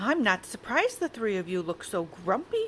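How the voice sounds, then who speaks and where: Using a put-on character voice, a woman speaks at a fairly high pitch with very wide pitch swings. She keeps a moderate pace while clear background noise runs underneath. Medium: read story. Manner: gentle, soothing.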